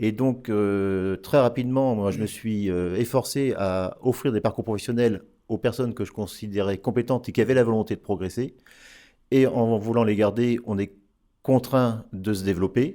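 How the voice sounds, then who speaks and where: A man's medium-pitched voice in a dark, mellow tone, at a moderate pace with fairly even intonation, on a very clean recording with a silent background. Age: 60s. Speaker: accountant, firm founder. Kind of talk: interview. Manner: hesitant.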